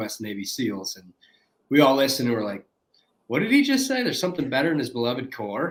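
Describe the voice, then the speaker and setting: A man talks at a very fast pace with a northern US accent. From US Midwest, Detroit, Michigan. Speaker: former Navy SEAL, founder of a performance project. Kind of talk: interview.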